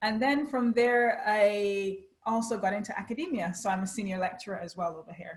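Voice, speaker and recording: The voice is somewhat breathy, moving at a moderate pace with fairly even intonation. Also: woman. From Barbados. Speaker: HR lecturer and consultant. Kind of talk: interview.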